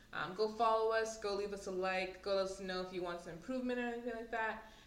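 Audible room echo hangs around this speaker. She is a woman with a medium pitch. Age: 20s. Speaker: podcast co-host. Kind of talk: casual chat.

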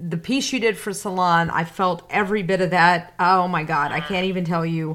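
A woman with an ordinary speaking voice talks at a moderate pace, at a fairly low pitch with ordinary pitch variation. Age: 40s. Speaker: podcast host and journalist. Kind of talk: interview.

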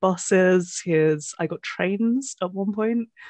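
A woman with a British accent speaks at a medium pitch with ordinary pitch variation over a quiet background. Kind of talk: casual chat. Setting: video call.

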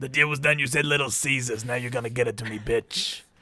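In a put-on character voice with a menacing tone, a man speaks very fast at a medium pitch. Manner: menacing, evil.

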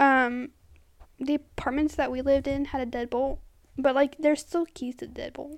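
The speech moves at a moderate pace with fairly even intonation. Its loudness swings widely. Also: woman. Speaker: podcast co-host. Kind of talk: casual chat.

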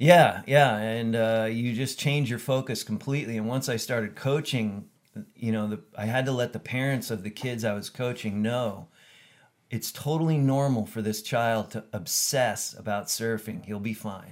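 Speaking with a Californian accent, a man talks at a medium pitch. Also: fairly even intonation, moderate pace. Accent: Californian American. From US West Coast (Camarillo, California). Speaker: surf photographer. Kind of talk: casual interview. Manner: halting, many fillers.

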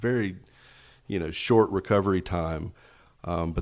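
A man speaks with an East Tennessee accent in a very deep, low voice. The recording is very clean, with a silent background. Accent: East Tennessee Southern US. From Knoxville, Tennessee. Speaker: hospital foundation fundraiser. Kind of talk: casual interview.

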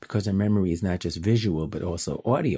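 With a Chicago accent, a man speaks in a dark, mellow tone. The sound is dry and close with no echo. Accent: Chicago American. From US Midwest, Chicago. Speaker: educator and app founder. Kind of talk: remote interview answers.

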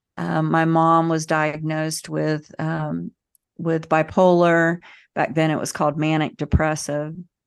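In a Southern US accent, a woman with a very deep, low pitch speaks at a fairly slow pace in monotone, flat intonation against a quiet background. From US South. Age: 40s. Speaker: emotional healing educator. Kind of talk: interview.

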